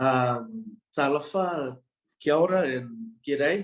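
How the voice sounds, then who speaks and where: A fairly high-pitched man with an Australian accent and ordinary pitch variation. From Australia, Brisbane. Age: 20s. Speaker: university student. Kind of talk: interview.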